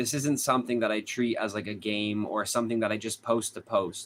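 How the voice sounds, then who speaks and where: A man at medium pitch talks with a slight Boston accent. His intonation is fairly even. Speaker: true crime streamer. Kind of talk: live stream chat with viewers.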